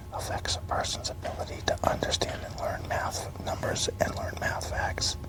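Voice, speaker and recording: Whispering at a moderate pace in a gentle tone, the speaker is heard over noticeable background noise. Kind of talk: soft-spoken ASMR book reading in a library. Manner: soft-spoken, gentle.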